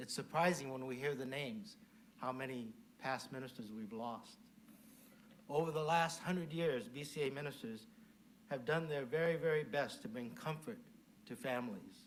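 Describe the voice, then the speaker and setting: A man with an American accent, fairly high pitch and lively intonation, long, frequent pauses, and audible room echo. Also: moderate pace. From US West Coast (Mountain View, California). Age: 70s. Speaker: Buddhist minister. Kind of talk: dharma talk. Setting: temple service, in person and virtual.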